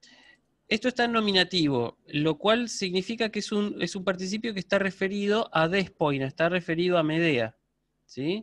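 Delivered at a moderate pace with lively intonation and big swings in loudness, this voice comes through dry and echo-free against a quiet background. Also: man, high pitch for a man. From Argentina. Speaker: university lecturer in Ancient Greek; university teacher of Greek. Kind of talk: online lecture; lecture. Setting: video call. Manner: hesitant fillers, repeats words. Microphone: video call.

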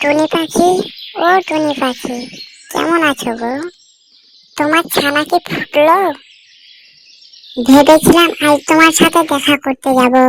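A cartoonish character voice, high in pitch, at a fairly slow pace.

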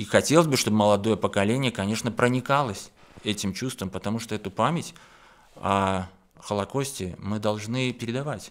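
At a moderate pace, a man with a fairly low pitch speaks with ordinary pitch variation. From Belarus. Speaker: painter; guest. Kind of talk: studio interview. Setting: radio studio. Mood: calm, earnest. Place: studio. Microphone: studio mic.

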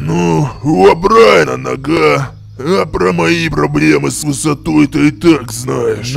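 A man's put-on character voice, fairly low in pitch and fairly slow, with clear background noise. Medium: machinima.

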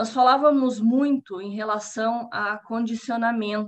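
A woman talks in a Paraná accent at a fairly high pitch. Her intonation is fairly even, and the background is quiet. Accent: Paraná Brazilian Portuguese. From Brazil, Paraná. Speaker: scientist giving public talk; lecturer. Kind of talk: lecture. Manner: halting, many fillers. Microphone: video call.

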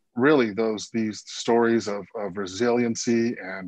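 A man talks at a fairly slow pace. The sound is dry with no echo, and the background is quiet. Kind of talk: panel discussion answer. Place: home room. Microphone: video call.

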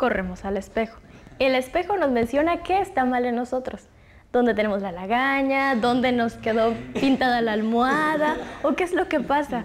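A woman speaks at a high pitch with lively intonation and a moderate pace. Light background noise can be heard. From Chiapas, Mexico. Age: 20s. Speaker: university student; panel discussant. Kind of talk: Bible study discussion. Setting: university meeting room. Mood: friendly, engaged. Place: studio. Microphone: lapel.

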